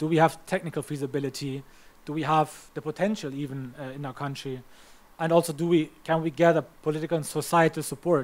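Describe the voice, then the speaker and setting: A man with a German accent talks at a very fast pace, his pitch fairly high and his intonation fairly even. The recording is very clean, with a silent background. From Germany. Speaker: climate policy trainer. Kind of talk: training lecture. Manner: halting.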